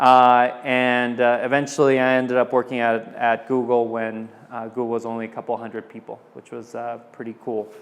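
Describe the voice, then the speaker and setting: A man of medium pitch speaks at a moderate pace in a Californian accent, with hardly any pauses. His intonation is monotone and flat, yet his loudness swings widely. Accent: Californian American English. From Southern California. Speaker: tech entrepreneur. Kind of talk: presentation. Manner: casual with many fillers.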